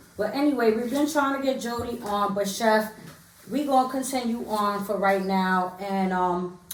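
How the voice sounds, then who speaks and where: A woman speaks at a moderate pace and a fairly high pitch with ordinary pitch variation. Noticeable background noise sits behind her. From New York, Harlem. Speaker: podcast host. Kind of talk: casual interview.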